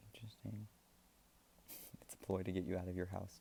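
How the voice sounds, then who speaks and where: Soft-spoken delivery comes at a very fast pace. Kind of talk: casual off-the-cuff commentary to camera.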